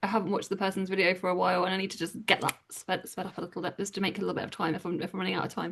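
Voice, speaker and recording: A woman speaks with an English accent. Her pitch is medium. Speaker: book youtuber. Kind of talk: casual chat. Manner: fast.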